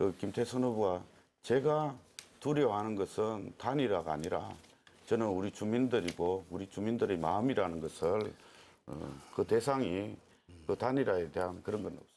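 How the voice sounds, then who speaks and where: Delivery comes at a moderate pace with lively intonation. The tone sounds dark and mellow. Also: man, fairly low pitch for a man. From Korea, Ulsan Dong-gu. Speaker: parliamentary candidate. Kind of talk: closing campaign speech; election debate.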